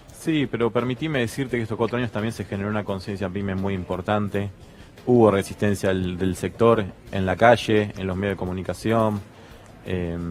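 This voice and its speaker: A man's fairly low voice at a fairly quick pace with fairly even intonation, over music in the background. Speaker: small business association representative. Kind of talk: TV panel discussion.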